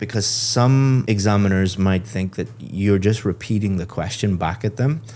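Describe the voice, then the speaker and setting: A man with an Irish accent, his tone dark and mellow and his pitch fairly low with ordinary variation, at a moderate pace with hardly any pauses. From Ireland. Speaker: IELTS speaking examiner / English teacher. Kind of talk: feedback on a mock speaking test.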